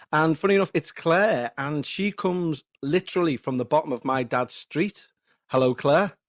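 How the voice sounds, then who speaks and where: A man with a Liverpool accent speaks with ordinary pitch variation. The recording is very clean, with a silent background. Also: fairly high pitch for a man, moderate pace, dry, close sound with no echo. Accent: scouse. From Liverpool area, England (Huyton). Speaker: podcast host. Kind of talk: casual chat; scripted narration.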